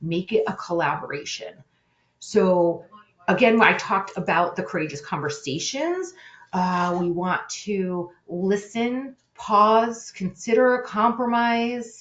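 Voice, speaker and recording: Using an unremarkable speaking voice, a woman talks at a fairly slow pace and medium pitch with lively intonation. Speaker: webinar presenter on conflict resolution. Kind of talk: webinar presentation.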